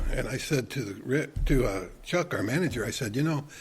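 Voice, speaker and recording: At a moderate pace, a man with an American accent speaks in a somewhat breathy voice. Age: 70s. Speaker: retired church elder and volunteer. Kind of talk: casual interview chat. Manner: repetitive, with frequent restarts.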